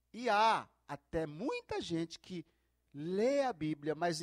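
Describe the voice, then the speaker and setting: With lively intonation and a high pitch, a man speaks in a dry, close sound with no echo. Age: 60s. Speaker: pastor. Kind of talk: sermon.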